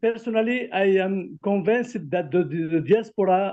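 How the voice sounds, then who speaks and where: Speaking at a fairly slow pace in a French accent, a man uses a high pitch with ordinary pitch variation. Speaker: academic collaborator. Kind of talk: testimony. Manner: halting.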